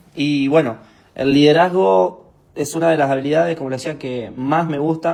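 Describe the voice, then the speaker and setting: The speaker is a man. He talks with an Argentine accent. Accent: Rioplatense Argentine Spanish. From Argentina, Santa Fe (Capitán Bermúdez). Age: 20s. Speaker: motivational speaker. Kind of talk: online training talk. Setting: live stream. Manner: informal, hesitant with fillers.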